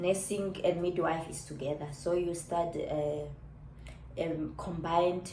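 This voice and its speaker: Fairly low and monotone, a woman talks at a fairly slow pace with audible room echo and noticeable background noise. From Namibia. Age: 30s. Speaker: YouTuber. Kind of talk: casual vlog chat.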